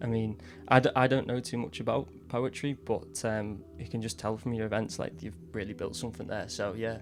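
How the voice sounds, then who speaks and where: Over music in the background, a man speaks at a fairly quick pace with ordinary pitch variation. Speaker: podcast host. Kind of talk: casual chat. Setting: studio.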